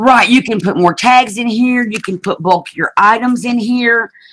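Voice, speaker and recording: A woman speaks with a strong Southern accent and ordinary pitch variation, the sound dry and close with no echo. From US South (Alabama). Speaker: craft video host. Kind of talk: craft tutorial livestream. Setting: video hangout livestream. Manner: casual, chatty.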